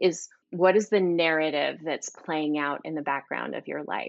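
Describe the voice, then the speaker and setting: Here is a woman with a fairly low pitch and ordinary pitch variation. It is an ordinary speaking voice. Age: 50s. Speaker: author and speaker on money mindset. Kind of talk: interview.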